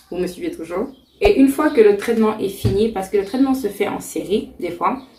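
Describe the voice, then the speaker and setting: Lively intonation marks this woman's speech, with noticeable noise behind her. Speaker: YouTuber, beauty vlogger. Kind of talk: tutorial. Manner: fast.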